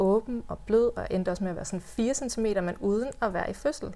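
Her pitch is fairly high, and she talks at a moderate pace. This woman has a normal speaking voice. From West Jutland, Denmark. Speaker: doula. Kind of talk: personal birth story in podcast interview.

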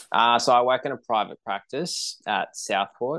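The man keeps a moderate pace. Behind him, the background is quiet. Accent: Australian. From Queensland, Australia. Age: 20s. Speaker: runner and lawyer. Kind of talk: casual interview.

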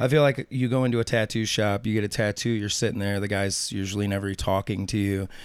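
A man with a St. Louis accent speaks at a very fast pace with hardly any pauses. His pitch is fairly low and his intonation fairly even. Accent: Midwestern US (St. Louis). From St. Louis area, Missouri. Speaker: tattoo artist. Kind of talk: interview storytelling. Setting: studio.

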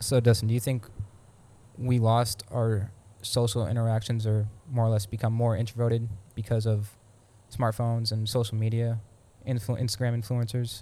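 A man's somewhat breathy voice of medium pitch and dark, mellow tone, with monotone, flat intonation, a moderate pace, and long, frequent pauses. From Pennsylvania. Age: 20s. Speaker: podcast co-host, Marine Corps reservist. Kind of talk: casual chat.

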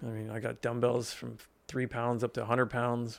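A man with an American accent talks at medium pitch and a fairly quick pace in a plain, everyday voice. The recording is very clean, with a silent background. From Pennsylvania, Lebanon County. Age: 40s. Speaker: personal trainer and gym owner. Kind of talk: casual interview. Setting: studio.

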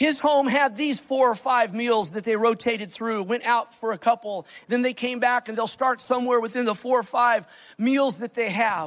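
A man speaks with an American accent. His pitch is extremely high. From United States. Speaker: pastor. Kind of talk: sermon.

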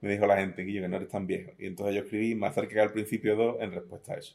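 With an Andalusian accent, a man talks in a fairly low voice using fairly even intonation. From southern Spain, Algeciras. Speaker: poet. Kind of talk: interview.

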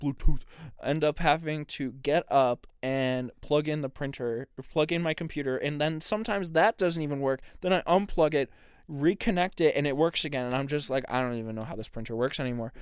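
In an animated tone, a man with a fairly high pitch and ordinary pitch variation speaks at a fairly quick pace on a very clean recording with a silent background. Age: 20s. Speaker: podcast co-host. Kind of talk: casual chat.

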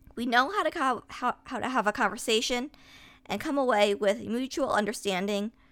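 A normal speaking voice with ordinary pitch variation at a moderate pace, on a very clean recording with a silent background. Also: woman. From US, upstate New York. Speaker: podcaster. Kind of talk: personal essay monologue.

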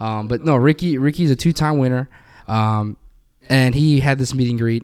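A man speaks at a moderate pace with a medium pitch, an unremarkable speaking voice and fairly even intonation. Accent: American. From Florida. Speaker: guest on podcast. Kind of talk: casual chat. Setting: recording in a garage.

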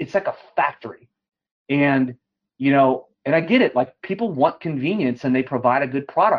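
At a moderate pace, a man talks in an unremarkable speaking voice that is fairly high, with ordinary pitch variation. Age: 40s. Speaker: mortgage lending executive. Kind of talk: interview.

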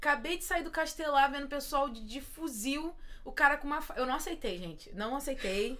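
A woman talks at a fairly quick pace in a raised, projected voice, her high pitch and bright, sharp tone carried by lively intonation and big swings in loudness. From Belford Roxo, Rio de Janeiro, Brazil. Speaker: podcast host. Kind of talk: casual interview chat.

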